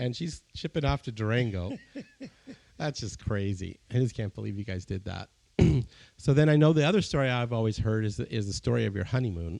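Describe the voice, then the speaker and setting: A man talks at a fairly quick pace in an ordinary speaking voice. His pitch is medium, and the background is quiet. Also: lively intonation. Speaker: architect and podcast host. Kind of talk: casual interview conversation.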